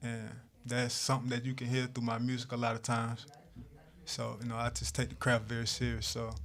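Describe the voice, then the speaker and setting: Talking at a fairly quick pace, a man with a Southern US accent keeps a medium pitch and monotone, flat intonation. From South Georgia, US South (Valdosta). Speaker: rapper. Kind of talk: interview. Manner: halting, many fillers.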